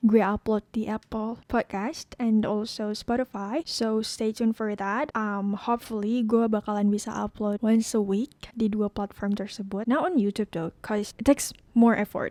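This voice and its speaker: A woman's fairly high, dark and mellow voice at a fairly slow pace, with hardly any pauses, fairly even intonation, and a dry, close sound with no echo. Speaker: podcast host. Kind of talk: casual monologue. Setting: home podcast setup with laptop. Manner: soft-spoken; code-switching Indonesian and English.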